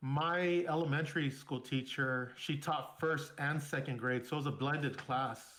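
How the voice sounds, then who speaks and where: A fairly high-pitched man at a moderate pace, with fairly even intonation and hardly any pauses. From Southern California (San Bernardino). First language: Spanish. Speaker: military veteran. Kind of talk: casual interview, personal storytelling.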